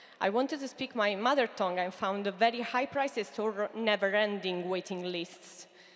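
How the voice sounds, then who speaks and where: In an Italian accent, a woman talks at a fairly slow pace. Her pitch is medium and her intonation fairly even. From Italy. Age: 30s. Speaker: entrepreneur. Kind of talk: pitch talk. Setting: stage with audience. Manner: halting.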